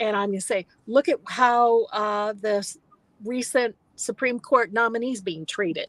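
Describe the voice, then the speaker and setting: A woman with an American accent has an ordinary speaking voice, a fairly high pitch and ordinary pitch variation. She talks at a moderate pace in a dry, close sound with no echo. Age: 60s. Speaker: novelist. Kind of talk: interview Q&A. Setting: livestream video call.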